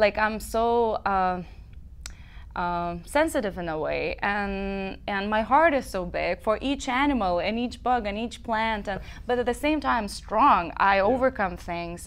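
With a Lithuanian accent, a woman speaks at a fairly slow pace in a fairly high pitch. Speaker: singer-songwriter; guest. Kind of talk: interview. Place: studio. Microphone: lapel.

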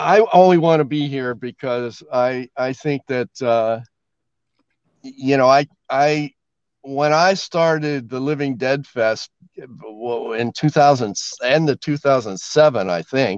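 A man at a very slow pace with ordinary pitch variation, the sound dry with no echo and the background quiet. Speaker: remote guest. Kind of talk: casual talk show chat. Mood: jokey, laughing. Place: car.

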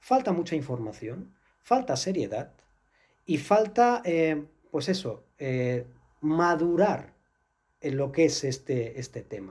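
A man at a very slow pace with long, frequent pauses and very wide pitch swings, over a quiet background. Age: 40s. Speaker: astral travel instructor and author; astral travel instructor. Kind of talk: interview. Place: studio.

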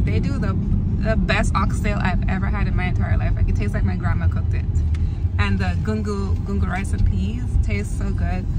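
Against loud background noise, a woman talks at a fairly quick pace in a dry sound with no echo. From Jamaica. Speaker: family vlogger. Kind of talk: casual talk to camera. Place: car. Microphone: phone near.

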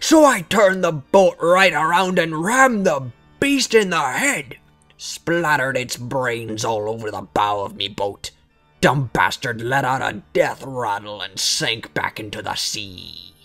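A put-on character voice with very wide pitch swings at a fairly slow pace, faint music in the background. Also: man, fairly high pitch for a man. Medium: read story. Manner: gruff, boastful yarn-spinning.

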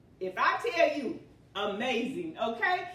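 In a room with audible echo, a woman speaks very slowly in a raised, projected voice. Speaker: home cooking show host. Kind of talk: prayer then cooking tutorial chat. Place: kitchen.

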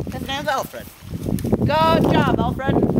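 Loud background noise accompanies a man talking at a moderate speed. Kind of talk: jokey mock tutorial.

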